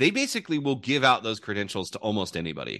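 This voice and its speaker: Over a quiet background, a bright, sharp voice with vocal fry swings very widely in pitch. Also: man. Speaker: college football podcast host.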